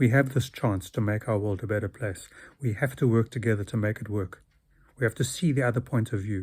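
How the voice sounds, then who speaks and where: The recording is very clean, with a silent background. A man talks at a fairly quick pace in a somewhat breathy, medium-pitched voice with ordinary pitch variation. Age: 60s. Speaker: video blogger. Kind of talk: monologue.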